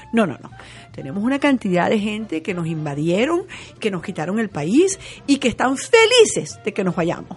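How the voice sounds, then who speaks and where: A woman at a medium pitch talks at a moderate pace with very wide pitch swings and big shifts in loudness while music plays behind her. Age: 60s. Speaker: television journalist. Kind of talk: interview conversation.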